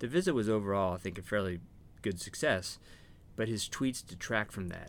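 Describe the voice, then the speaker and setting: The voice moves at a fairly quick pace with ordinary pitch variation, an ordinary speaking voice. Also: man. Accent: American. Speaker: retired diplomat. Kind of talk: interview.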